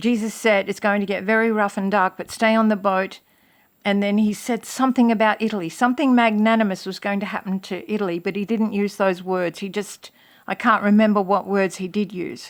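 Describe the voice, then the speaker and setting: A woman with an unremarkable speaking voice talks at a fairly quick pace and medium pitch. The recording is very clean, with a silent background. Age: 60s. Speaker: religious video blogger. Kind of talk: casual monologue to camera.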